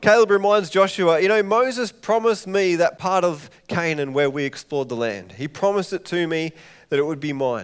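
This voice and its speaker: With an Australian accent, a man talks at a fairly quick pace, his voice high-pitched and his intonation lively. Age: 30s. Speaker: pastor. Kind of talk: sermon. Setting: church.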